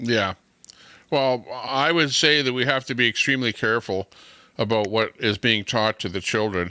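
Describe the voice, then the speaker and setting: A man speaks loudly with a Canadian accent and a bright, sharp tone at a moderate pace, in a dry, close sound with no echo. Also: medium pitch for a man, ordinary pitch variation. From Canada. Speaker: live stream host. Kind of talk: casual chat.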